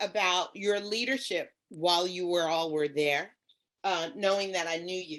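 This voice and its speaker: A woman with an unremarkable speaking voice talks at a fairly slow pace. Her pitch is medium, with ordinary variation. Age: 60s. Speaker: garden educator. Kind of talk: casual chat.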